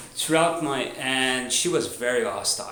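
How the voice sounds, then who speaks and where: Over noticeable background noise and audible room echo, a man speaks at a very slow pace. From Canada, French Canadian. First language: French. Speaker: video blogger. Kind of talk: personal testimony. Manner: halting, many restarts and fillers.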